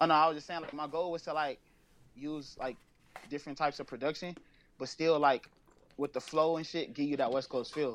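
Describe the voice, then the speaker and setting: A man with an American accent, fairly even intonation and a fairly quick pace, broken by long, frequent pauses. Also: fairly high pitch for a man. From Los Angeles. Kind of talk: interview. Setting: phone call.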